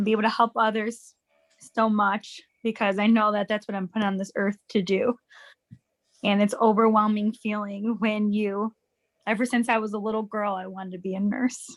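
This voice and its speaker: A woman's fairly high, monotone, flat voice at a moderate pace, in a dry, close sound with no echo. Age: 30s. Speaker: nursing graduate. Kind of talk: testimony.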